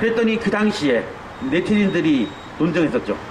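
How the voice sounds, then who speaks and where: Audible room echo surrounds the speech, and noticeable background noise is present. The intonation is lively. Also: man. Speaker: university professor. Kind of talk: street lecture. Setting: outdoors at a protest sit-in site. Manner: fast; stutters at times.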